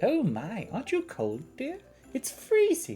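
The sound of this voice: Over faint music in the background, a put-on character voice with a fairly high pitch moves at a fairly slow pace.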